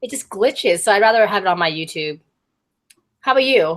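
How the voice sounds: A woman talks at a fairly quick pace with lively intonation. Her tone is fairly bright and her pitch sits at a medium level.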